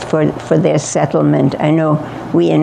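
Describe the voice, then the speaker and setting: Someone speaks with a German accent, with noticeable background noise behind them. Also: woman. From Germany. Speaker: Holocaust survivor speaker. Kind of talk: audience Q&A. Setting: library event with audience.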